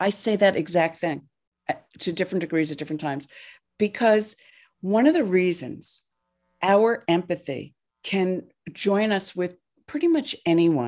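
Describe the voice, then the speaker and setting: Over a silent background in a very clean recording, a woman speaks at a moderate pace with long, frequent pauses. Her medium-pitched voice has lively intonation. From New Jersey, US. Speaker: therapist and nonprofit founder. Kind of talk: casual interview chat.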